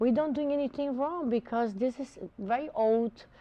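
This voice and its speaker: In a Portuguese accent, a woman speaks at a high pitch with a dark, mellow tone. Her pace is moderate, her pitch variation ordinary, and the background quiet. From Brazil. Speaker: botanica shop owner. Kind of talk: TV interview.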